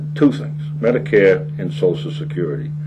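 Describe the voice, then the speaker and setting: Noticeable background noise runs behind the man as he talks. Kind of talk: interview answer. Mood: earnest political argument. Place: studio.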